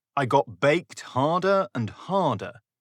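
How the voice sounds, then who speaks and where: In a British accent, a man talks at a very slow pace with vocal fry, in a dry, close sound with no echo. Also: very clean recording, silent background. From United Kingdom. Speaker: children's author. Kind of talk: children's story reading. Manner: playful, humorous.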